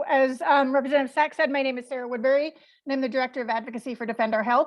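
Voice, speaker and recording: A woman's very fast, high-pitched speech with fairly even intonation. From Maine. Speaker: environmental health advocate. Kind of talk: presentation.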